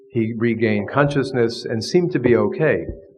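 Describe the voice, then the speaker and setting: Audible room echo surrounds a man who talks in an American accent. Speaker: professor of divinity, Jesuit priest. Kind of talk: lecture.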